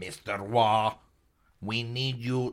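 A man's robotic, put-on character voice at a medium pitch.

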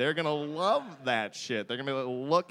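Lively intonation marks this man's speech. He talks at a fairly quick pace with a fairly high pitch. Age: 30s. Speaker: comedian. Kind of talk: comedic debate. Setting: stage with audience. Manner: animated.

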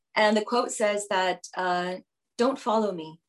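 A woman speaks with an American accent at medium pitch. Hers is an unremarkable speaking voice with ordinary pitch variation. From Houston, Texas. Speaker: business executive. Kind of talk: interview.

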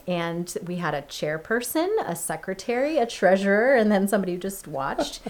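A woman in an ordinary speaking voice talks at a moderate pace with medium pitch. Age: 30s. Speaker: pastor. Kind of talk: podcast conversation.

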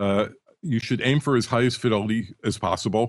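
Against a quiet background, a man with a normal speaking voice talks fairly quickly at a fairly low pitch with fairly even intonation, the sound dry and close with no echo. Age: 60s. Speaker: audio expert and author. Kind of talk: casual chat. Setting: Skype call. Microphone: good quality audio.

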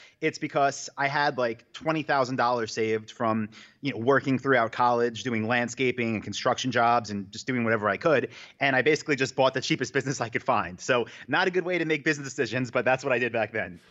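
A man's medium-pitched voice with an American accent, very fast pace and ordinary pitch variation. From New York, Long Island. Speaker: online business founder and event organizer. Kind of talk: interview. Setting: remote call from office.

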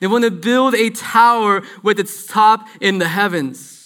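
A man with a high pitch uses a raised, projected voice. He talks at a very slow pace with ordinary pitch variation. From Guatemala and California. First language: Spanish. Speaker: church minister. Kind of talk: sermon. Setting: church with congregation.

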